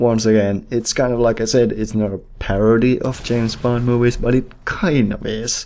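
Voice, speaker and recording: This man speaks with a Finnish accent and a dark, mellow tone. His intonation stays fairly even, and he leaves hardly any pauses. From Finland. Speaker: movie reviewer. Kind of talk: casual unscripted monologue. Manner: hesitant, many fillers.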